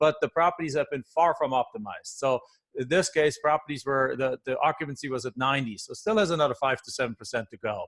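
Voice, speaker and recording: The man speaks with a German accent at a fairly quick pace. His pitch is fairly high with ordinary variation, and the sound is dry and close with no echo. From Germany. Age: 40s. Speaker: real estate investor. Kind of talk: podcast interview. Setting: call.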